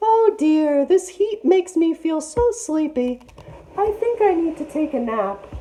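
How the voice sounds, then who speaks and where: Squeaky and extremely high in pitch, a woman's put-on character voice moves at a fairly slow pace. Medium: read story. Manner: falsely sweet, coaxing.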